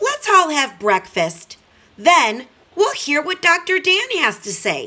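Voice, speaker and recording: A put-on character voice at a fairly slow pace, with very wide pitch swings. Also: woman, extremely high pitch for a woman. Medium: read story.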